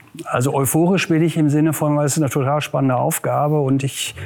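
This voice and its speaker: A man with an unremarkable speaking voice talks at a moderate pace and a fairly high pitch. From Ruhr area, Westphalia (Germany). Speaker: regional government official, former mayor. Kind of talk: interview.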